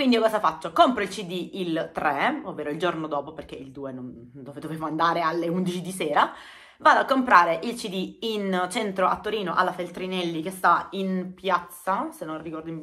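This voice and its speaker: A woman's fairly low voice with a bright, sharp tone, lively intonation, big swings in loudness, a moderate pace, and a quiet background. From Apulia, southern Italy. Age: 30s. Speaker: YouTuber. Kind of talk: casual storytelling vlog. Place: home room. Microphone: phone near.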